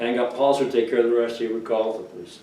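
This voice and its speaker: The speaker has a New England accent and a monotone, flat intonation. Noticeable background noise sits behind the voice. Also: man. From Cape Cod, Massachusetts. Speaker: oral history interviewee. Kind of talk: interview answer.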